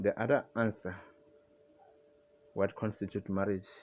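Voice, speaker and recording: Speaking with a non-native accent, a man has a fairly low pitch. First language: not English. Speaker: religious video commentator. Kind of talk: casual monologue on religion. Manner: halting, with fillers and restarts.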